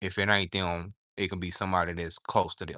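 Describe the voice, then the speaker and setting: Over a quiet background, a man with a Southern US accent talks fairly quickly in a very deep, low voice with a bright, sharp tone. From US South. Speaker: livestreamer and aspiring novelist. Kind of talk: casual livestream chat. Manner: animated.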